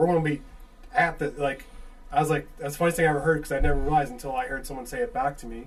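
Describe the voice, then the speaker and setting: With a strong Chicago accent, a man speaks against noticeable background noise. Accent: thick Chicago. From Chicago suburbs. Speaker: podcast host. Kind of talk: casual chat.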